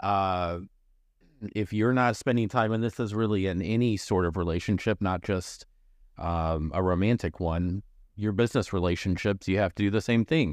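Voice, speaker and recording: A normal speaking voice from a man, fairly low in pitch with ordinary pitch variation, very even loudness and a moderate pace, over a quiet background. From Missouri. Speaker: podcast host. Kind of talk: casual interview chat.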